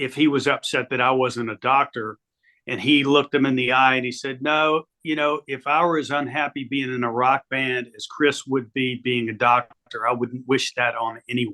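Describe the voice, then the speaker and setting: A man speaks with an American accent at medium pitch. His intonation is monotone and flat. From Virginia, Roanoke area. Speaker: music industry executive. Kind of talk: interview.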